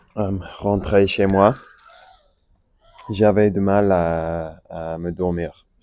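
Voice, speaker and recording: A man's very deep, low voice with an English accent, fairly even intonation, a very slow pace and long, frequent pauses. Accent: English-speaking learner of French. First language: English (speaking French). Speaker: French learner vlogger. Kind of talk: casual monologue. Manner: halting, many fillers.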